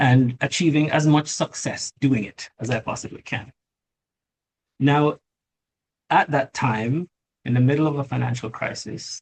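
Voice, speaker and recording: A somewhat breathy man at a fairly high pitch, with fairly even intonation, a fairly slow pace, and long, frequent pauses. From Jamaica. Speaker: lawyer and tech company CEO. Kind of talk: interview.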